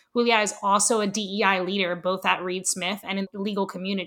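A woman's bright, sharp voice at medium pitch, fairly quick and fairly even in intonation, on a very clean recording with a silent background. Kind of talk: podcast interview.

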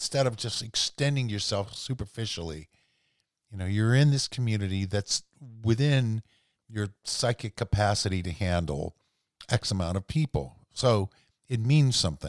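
A normal speaking voice with an American accent and lively intonation moves at a moderate pace. The sound is dry and close with no echo, on a very clean recording with a silent background. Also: man, fairly low pitch for a man. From rural southwestern Pennsylvania. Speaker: podcast host. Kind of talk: solo monologue podcast. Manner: casual, with frequent fillers.

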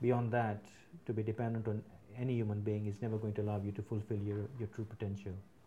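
Very fast and monotone, a man talks with a fairly low pitch, a dark, mellow tone and a somewhat breathy quality. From UK, Indian family, born in Africa. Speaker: business leader. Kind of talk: casual interview chat. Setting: his office.

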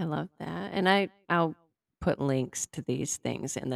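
A woman's lively intonation and vocal fry at a fairly slow pace, in a dry, close sound with no echo. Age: 40s. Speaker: podcast host. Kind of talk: casual interview chat.

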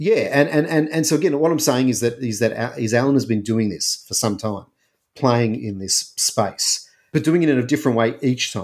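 He has a normal speaking voice with ordinary pitch variation. His medium pitch comes at a fairly quick pace. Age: 40s. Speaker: book podcast co-host. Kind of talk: casual book discussion.

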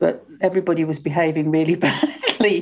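Her voice carries a dark, mellow tone. The woman's pitch is very deep and low. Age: 70s. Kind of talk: casual interview chat.

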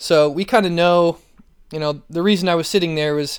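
In a very clean recording with a silent background, a man speaks at a moderate pace with a plain, everyday voice, fairly high pitch and fairly even intonation. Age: 20s. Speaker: athletic trainer. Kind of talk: solo podcast talk.

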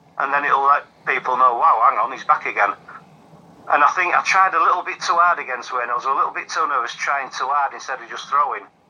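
His loudness rises and falls in big swings. The man speaks at a very fast pace. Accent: Yorkshire. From Yorkshire, England. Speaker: darts player. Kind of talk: casual interview.

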